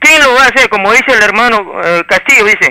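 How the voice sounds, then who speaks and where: A man speaks in a raised, projected voice. His pitch varies in an ordinary way. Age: 50s. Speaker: caller, social activist. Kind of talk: call-in opinion. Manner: halting, repeats words.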